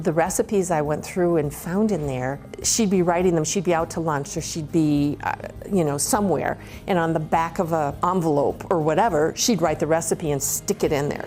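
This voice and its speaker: The voice keeps a moderate pace with ordinary pitch variation. Noticeable background noise runs underneath. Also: woman, fairly low pitch for a woman. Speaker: grandmother home cook. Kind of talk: cooking demonstration and family memories. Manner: lively.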